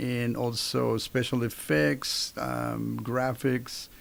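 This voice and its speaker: The voice belongs to a man. His speech carries a Spanish accent. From Mexico City, Mexico. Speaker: university professor. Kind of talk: interview.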